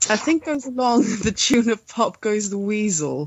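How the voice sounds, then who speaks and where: A woman with a Swedish accent speaks at medium pitch with lively intonation. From Sweden. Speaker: podcast co-host. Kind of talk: casual chat. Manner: halting.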